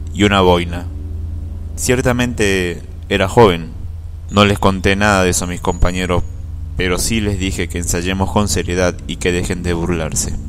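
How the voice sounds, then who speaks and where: Against noticeable background noise, a man with a very deep, low voice speaks at a fairly slow pace. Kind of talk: first-person ghost story telling, recounted as a personal experience.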